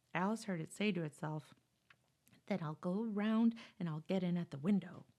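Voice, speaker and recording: Soft-spoken, a woman talks at a medium pitch and a moderate pace. Her tone is dark and mellow, with ordinary pitch variation. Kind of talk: bedtime story.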